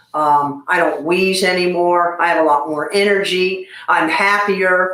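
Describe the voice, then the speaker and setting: A woman speaks fairly slowly at a fairly low pitch, her intonation monotone and flat. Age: 60s. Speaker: former smoker, patient. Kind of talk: interview.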